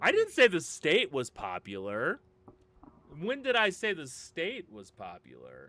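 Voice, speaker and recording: Speaking at a fairly slow pace with an American accent, a man shows big swings in loudness. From US Upper Midwest, Minnesota. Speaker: gaming streamer. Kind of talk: live game stream chat.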